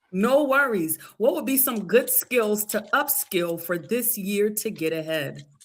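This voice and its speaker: Fairly high-pitched with lively intonation, a woman talks in an ordinary speaking voice. Her pace is fairly slow, with hardly any pauses. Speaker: workshop moderator. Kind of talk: live webinar Q&A.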